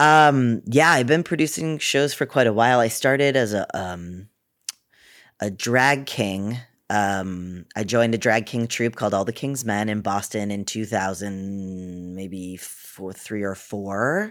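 With an American accent, a man speaks fairly slowly in a fairly low voice with ordinary pitch variation, a plain, everyday voice. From Massachusetts, Cape Cod. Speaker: actor and producer. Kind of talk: interview.

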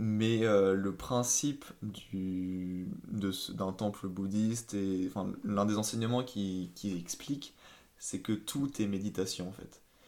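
A man's fairly low voice at a very slow pace with fairly even intonation, in a very clean recording with a silent background. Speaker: engineer. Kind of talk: casual chat. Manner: hesitant, repeats words.

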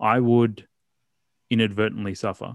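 On a very clean recording with a silent background and a dry, close sound with no echo, a man with an Australian accent speaks fairly quickly in a fairly low voice. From Australia, Melbourne. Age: 30s. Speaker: writer and anti-violence campaigner. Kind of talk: casual interview.

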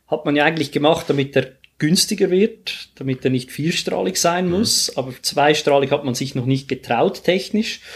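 A man's intonation is lively as he keeps to a moderate speed. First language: Swiss German (speaking German). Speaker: airline pilot. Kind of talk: casual interview. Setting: studio, face to face.

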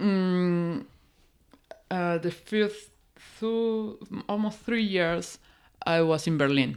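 A woman with a Peruvian accent speaks at a very slow pace with long, frequent pauses, her medium pitch showing ordinary variation. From Peru, Oxapampa region. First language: Spanish. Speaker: forest scientist. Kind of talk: casual interview.

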